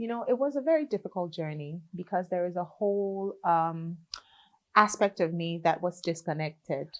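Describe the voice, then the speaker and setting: A woman speaks with a Liberian accent. Her pitch is fairly low and her pace moderate. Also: ordinary pitch variation. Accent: Liberian accent, kept. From Liberia, raised in Ghana from age seven. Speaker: gospel singer. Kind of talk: interview.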